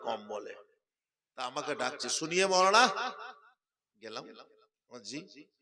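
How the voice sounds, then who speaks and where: A plain, everyday voice from a man, with lively intonation. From West Bengal, India (Birbhum district). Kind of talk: sermon.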